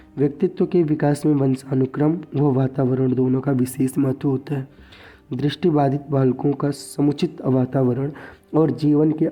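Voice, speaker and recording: Somewhat breathy man's voice at a fairly high pitch, flat and monotone, at a fairly slow pace. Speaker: education tutor. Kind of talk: tutorial.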